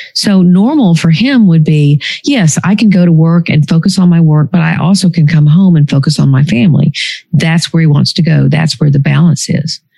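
A woman's ordinary speaking voice, fairly low in pitch, with ordinary pitch variation, a moderate pace and very even loudness. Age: 60s. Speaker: psychologist and author. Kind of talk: interview conversation.

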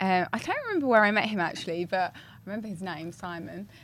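Noticeable background noise sits behind a woman with an Essex accent. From Essex, England. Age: 30s. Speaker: podcast co-host. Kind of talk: casual chat.

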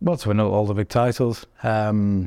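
Against a quiet background, a man with a Yorkshire accent talks in a fairly low pitch. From Sheffield, northern England. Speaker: strongman athlete. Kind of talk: casual chat.

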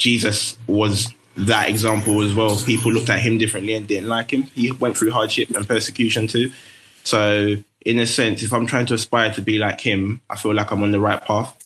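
With a London accent, a man speaks at a medium pitch and moderate pace in a monotone, flat intonation. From London, Tower Hamlets. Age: 20s. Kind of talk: casual chat.

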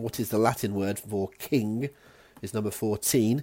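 A man with a West Country accent speaks at a moderate pace in a medium pitch. His tone is dark and mellow, on a very clean recording with a silent background. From West Country, England. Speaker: quiz host. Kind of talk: scripted quiz presentation.

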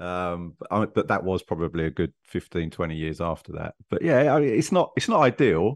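Against a quiet background with a dry, close sound and no echo, a man with a London accent and a very deep, low pitch talks at a fairly quick pace with very wide pitch swings. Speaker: retired police detective. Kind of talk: interview.

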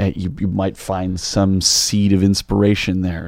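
A man's very deep, low voice has a dark, mellow tone and monotone, flat intonation. He keeps a moderate pace on a very clean recording with a silent background. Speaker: singer-songwriter. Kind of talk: casual chat.

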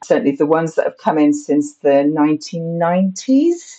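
Her voice has a dark, mellow tone as the woman speaks at a fairly slow pace with ordinary pitch variation. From northern England. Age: 40s. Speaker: astrologer. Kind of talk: interview. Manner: hesitant fillers.

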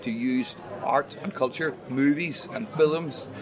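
Beneath noticeable background noise, a man talks using ordinary pitch variation. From Ireland. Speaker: podcast host. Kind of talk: casual chat. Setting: outdoors at a pub.

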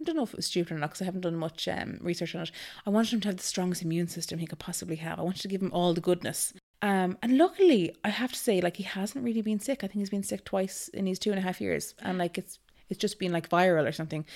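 This woman talks at a very fast pace in a western Irish accent. Her pitch is medium, with ordinary variation. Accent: Irish (west of Ireland). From Ireland, Galway. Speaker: mother sharing birth story. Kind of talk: casual interview, personal story.

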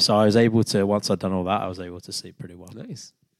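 Talking at a very fast pace, a man with a British accent uses a fairly low pitch and ordinary pitch variation. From UK. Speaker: amateur runner. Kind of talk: casual chat.

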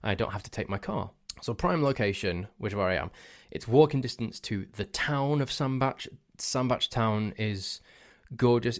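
Lively intonation marks this voice, spoken in a Cheshire accent. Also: man, very clean recording, silent background. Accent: northern English (Cheshire). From northern England. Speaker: podcast host. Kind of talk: casual solo chat. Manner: rambling, self-correcting, playful.

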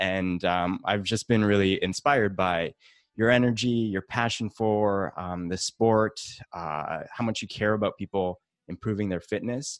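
This man talks at a fairly slow pace in a fairly low pitch, with ordinary pitch variation and a plain, everyday voice. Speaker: podcast host and interviewer. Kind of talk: interview, scripted intro and outro.

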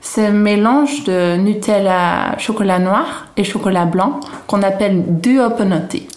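With a Dutch accent and a medium pitch, a woman is heard amid noticeable background noise and audible room echo. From Netherlands, Haarlem. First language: Dutch (speaking French). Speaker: Dutch expatriate guest. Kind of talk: casual food interview. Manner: halting.

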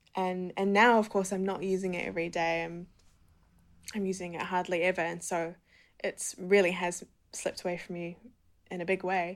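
On a very clean recording with a silent background, a woman with a New Zealand accent speaks in a monotone, flat way with long, frequent pauses. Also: medium pitch for a woman, moderate pace. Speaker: poet and writer. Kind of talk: interview; reading aloud.

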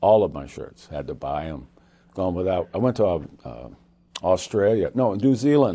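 Very deep and low, a man's voice with a dark, mellow tone and vocal fry moves at a moderate pace through very wide pitch swings and big swings in loudness. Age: 70s. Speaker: evangelist. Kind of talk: interview. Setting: studio.

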